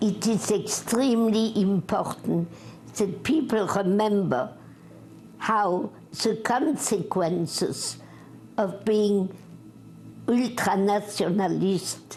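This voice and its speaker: A woman speaks at a very slow pace with vocal fry. Her pitch is medium, with ordinary variation. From France. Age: 80s+. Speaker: war veteran, former resistance spy. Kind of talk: interview answer.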